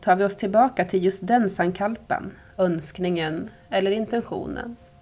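Speaking with fairly even intonation, a woman uses a plain, everyday voice. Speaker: yoga nidra teacher. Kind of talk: guided meditation. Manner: slow, soft-spoken, calm and soothing with long pauses.

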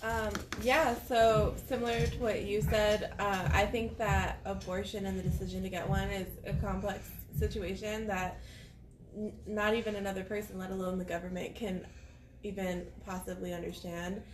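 A woman talks at a moderate pace amid audible room echo and noticeable background noise. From Albuquerque, New Mexico. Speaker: activist. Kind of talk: casual chat. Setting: studio.

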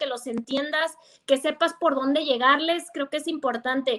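A raised, projected voice with a bright, sharp tone comes at a moderate pace with ordinary pitch variation. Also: woman. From Mexico, Guadalajara, Jalisco. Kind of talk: casual chat. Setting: video call.

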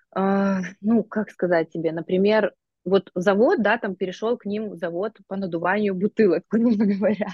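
Her intonation fairly even, a woman speaks at a moderate pace and a medium pitch. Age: 30s. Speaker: astrologer and life coach. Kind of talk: casual chat. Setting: phone video call. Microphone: phone on mobile internet.

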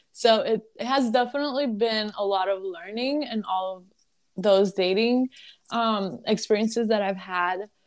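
A woman with a slight Lebanese accent speaks at a moderate pace in a fairly high pitch. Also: ordinary pitch variation. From Lebanon. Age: 20s. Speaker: student and social media content creator. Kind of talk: interview.

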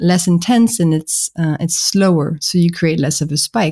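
A woman's fairly low, dark, mellow voice with a French accent, in a dry, close sound with no echo. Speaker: podcast guest, book author.

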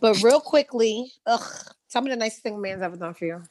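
A woman talks in an animated tone with lively intonation and a fairly high pitch. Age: 30s. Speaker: podcast host. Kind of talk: casual chat.

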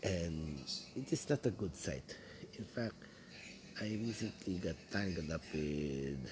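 Speaking in a Filipino accent, a man has a very deep, low pitch, a somewhat breathy sound and lively intonation. He goes at a fairly slow pace with long, frequent pauses. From Philippines, Quezon City (Manila). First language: Tagalog. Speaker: podcaster. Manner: halting, hesitant with many fillers.

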